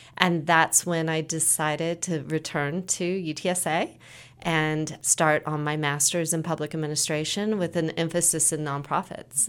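On a very clean recording with a silent background, a woman with a very deep, low pitch talks at a moderate pace in a monotone, flat intonation. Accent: American. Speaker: nonprofit director. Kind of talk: interview answers.

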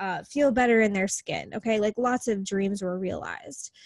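In a normal speaking voice, a woman with an American accent speaks at a medium pitch with ordinary pitch variation, on a very clean recording with a silent background. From US Midwest, small-town Wisconsin. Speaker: business coach. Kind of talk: casual interview.

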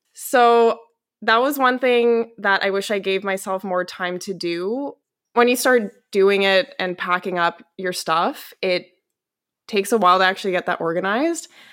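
Speaking with a Western Canadian accent, a woman at a medium pitch talks at a moderate pace with ordinary pitch variation on a very clean recording with a silent background. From Canada, Calgary, Alberta. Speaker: publishing company employee living abroad. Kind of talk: interview conversation.

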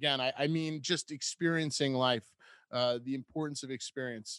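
A man with a plain, everyday voice speaks at a moderate pace and fairly high pitch, with ordinary pitch variation, in a dry, close recording with no echo and a quiet background. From US Northeast, Rhode Island. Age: 40s. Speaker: podcast host. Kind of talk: casual interview chat.

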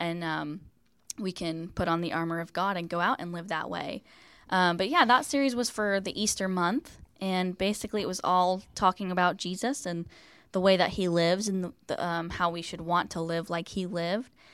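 With an ordinary speaking voice, a woman speaks at a moderate pace and medium pitch with ordinary pitch variation, on a very clean recording with a silent background. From West Virginia. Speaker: children's ministry leader and performer. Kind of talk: casual interview.

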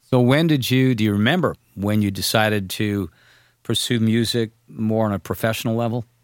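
A man with a plain, everyday voice talks at a moderate pace and medium pitch with ordinary pitch variation. The very clean recording has a silent background and a dry, close sound with no echo. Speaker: podcast host. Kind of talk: casual interview.

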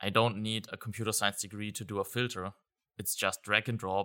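A man with a German accent, fairly low pitch, bright and sharp tone, flat monotone delivery at a moderate pace, dry close sound with no echo, very clean recording and silent background. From Germany. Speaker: software consultant. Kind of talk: interview. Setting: live event venue.

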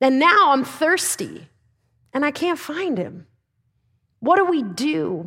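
A woman projects a raised, high-pitched voice with very wide pitch swings. Her pace is very slow, broken by long, frequent pauses. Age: 30s. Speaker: lay preacher and high school teacher. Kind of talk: sermon. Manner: casual, filler-heavy with laughs.

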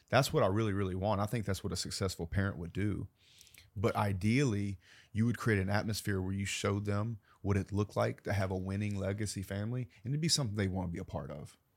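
In a very clean recording with a silent background, a man speaks at a fairly low pitch. He talks very fast, with ordinary pitch variation. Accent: Southern US. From US South. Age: 30s. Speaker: entrepreneur. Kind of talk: interview conversation. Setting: studio.

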